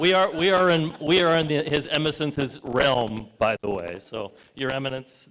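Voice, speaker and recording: Here is a man with an unremarkable speaking voice and a fairly high pitch. He talks at a moderate pace with lively intonation. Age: 60s. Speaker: sponsor representative. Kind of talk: press conference speech. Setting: brewery event with audience. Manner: casual, joking.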